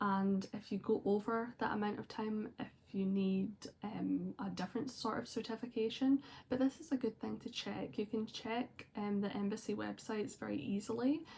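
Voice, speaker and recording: A woman with a Scottish accent speaks at a moderate pace in a somewhat breathy, dark, mellow voice with a fairly high pitch and ordinary pitch variation. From Scotland. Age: 20s. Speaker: vlogger. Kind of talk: personal vlog talk. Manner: casual with frequent fillers.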